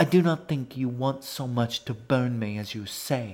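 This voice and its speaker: A man speaks in a put-on character voice at medium pitch, captured in a very clean recording with a silent background. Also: moderate pace. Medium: read story. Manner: formal, haughty, unhurried.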